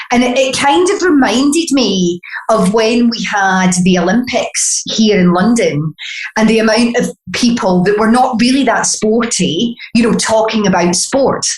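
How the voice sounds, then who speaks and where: A woman's fairly high voice in a Glaswegian accent, fairly slow in pace, with lively intonation, very even loudness and noticeable background noise. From Scotland, Glasgow. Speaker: beauty brand founder. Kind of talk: podcast interview.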